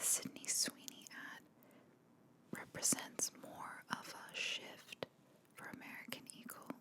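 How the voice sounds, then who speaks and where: The whispered speech moves fairly slowly, broken by long pauses that come often. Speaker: marketer. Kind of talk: ASMR marketing commentary. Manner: relaxed.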